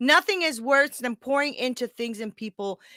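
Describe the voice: A woman with a high pitch and a bright, sharp tone talks at a moderate pace with lively intonation, in a dry, close sound with no echo on a very clean recording with a silent background.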